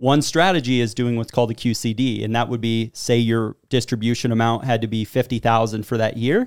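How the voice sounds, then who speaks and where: A man's medium-pitched, plain, everyday voice, fairly even in intonation, fairly quick with hardly any pauses, on a very clean recording with a silent background. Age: 30s. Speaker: financial advisor. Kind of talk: podcast interview.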